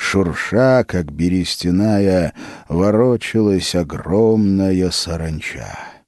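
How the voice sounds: Natural voice used for reading aloud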